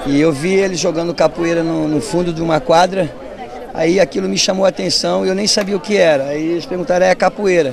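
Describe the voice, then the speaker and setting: Against crowd noise in the background, a man speaks fairly quickly in a high voice with ordinary pitch variation, the sound dry with no echo. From São Paulo state, Brazil. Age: 50s. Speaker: capoeira master. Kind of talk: interview. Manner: halting. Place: street. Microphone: handheld.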